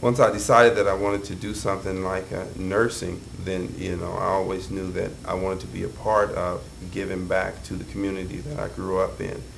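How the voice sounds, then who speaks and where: Amid noticeable background noise and audible room echo, a man with an American accent talks in a very deep, low voice at a fairly quick pace. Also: fairly even intonation. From Kansas City. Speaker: nurse practitioner. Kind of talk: interview.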